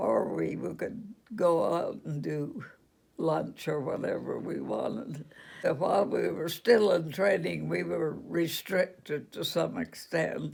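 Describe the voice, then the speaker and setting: A woman with a Western US accent speaks at a very slow pace. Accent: American Western. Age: 80s+. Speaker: retired registered nurse. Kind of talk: interview answer.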